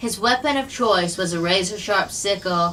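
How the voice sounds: A natural reading voice, nothing more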